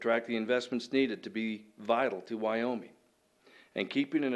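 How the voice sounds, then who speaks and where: Against a quiet background, a man talks at a fairly quick pace with a medium pitch. His intonation is fairly even, and he has an unremarkable speaking voice. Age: 60s. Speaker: council applicant, retired banker. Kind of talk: public address at council meeting. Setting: city council meeting. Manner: formal.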